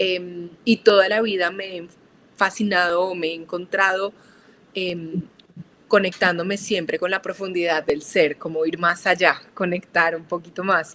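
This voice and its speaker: The voice has a bright, sharp tone and a monotone, flat intonation, moving at a fairly slow pace. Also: woman, medium pitch for a woman. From Colombia, Manizales. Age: 30s. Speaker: architect and spiritual guide. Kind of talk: podcast interview.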